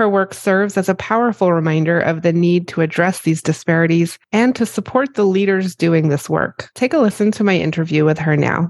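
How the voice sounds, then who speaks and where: An unremarkable speaking voice with ordinary pitch variation and very even loudness comes through in a dry, close sound with no echo. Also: woman, fairly low pitch for a woman, fairly quick pace, hardly any pauses. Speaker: podcast host. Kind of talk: interview for a podcast, with scripted intro and outro.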